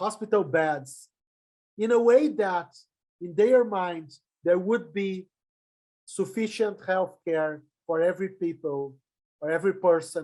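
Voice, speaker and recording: A man's high voice with a Portuguese accent, lively intonation and a very slow pace. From Brazil. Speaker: public health professor. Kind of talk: lecture. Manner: halting.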